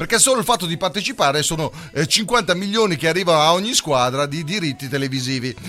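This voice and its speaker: Against noticeable background noise, a man talks very fast at a fairly high pitch with lively intonation. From Italy. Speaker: radio host. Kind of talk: casual radio talk. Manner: animated.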